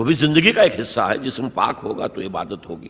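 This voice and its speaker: Ordinary pitch variation in a man's bright, sharp tone. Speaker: Islamic scholar giving a lecture and answering audience questions. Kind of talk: religious lecture (bayan) in Urdu with English words mixed in. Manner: explanatory, lecture style.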